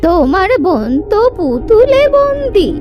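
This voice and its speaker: A cartoonish character voice speaks at an extremely high pitch. Clear music plays in the background. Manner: knowing, calm.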